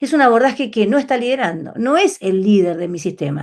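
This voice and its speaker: Her pitch fairly high, a woman races at a very fast pace with very wide pitch swings. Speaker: numerology teacher. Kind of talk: online class lecture.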